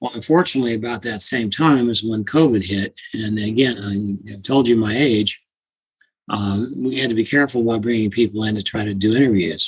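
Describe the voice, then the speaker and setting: A man with a medium pitch talks in a normal speaking voice at a fairly quick pace, with ordinary pitch variation. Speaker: small IT business owner. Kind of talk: interview recollection.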